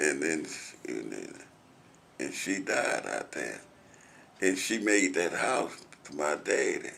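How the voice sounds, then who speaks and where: A man with an American accent speaks at a very slow pace, leaving long, frequent pauses. Audible echo fills the room. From US South. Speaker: oral history interviewee. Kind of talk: oral history interview. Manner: halting.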